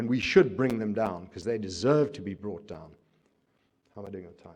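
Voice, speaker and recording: At a moderate pace, a man with a fairly low pitch and ordinary pitch variation speaks with big swings in loudness. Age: 60s. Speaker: businessman and activist. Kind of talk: public talk. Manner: animated.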